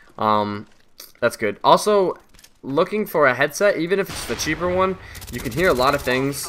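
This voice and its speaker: There is noticeable background noise behind a man speaking. He moves at a fairly quick pace with lively intonation. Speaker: gaming commentator. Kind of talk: gameplay commentary. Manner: hesitant, many fillers.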